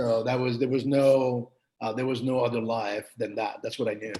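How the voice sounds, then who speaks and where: Here a man talks at a fairly quick pace. His pitch is medium, and his intonation is fairly even. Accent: slight Parisian. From Montreal, Quebec, Canada. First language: French. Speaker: writer. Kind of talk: podcast interview.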